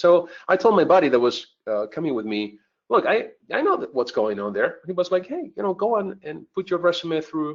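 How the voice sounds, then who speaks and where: A man speaks at a fairly quick pace with a Spanish accent. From southern Spain (Malaga). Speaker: cybersecurity instructor. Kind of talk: webinar presentation, personal story. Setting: online webcast.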